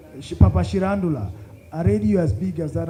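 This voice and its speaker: Amid audible room echo, a man talks fairly quickly at a fairly high pitch with a dark, mellow tone, a somewhat breathy quality and very wide pitch swings. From Kenya, Luo from Nyakach. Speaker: storyteller and author. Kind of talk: fireside chat talk with audience. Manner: repetitive false starts.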